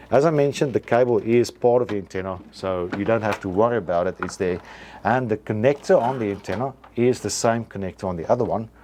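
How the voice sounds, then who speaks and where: Speaking very fast with a non-native accent, a man has a dark, mellow tone, medium pitch and ordinary pitch variation. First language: not English. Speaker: antenna equipment seller demonstrating products. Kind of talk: product tutorial. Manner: hesitant, many fillers and restarts.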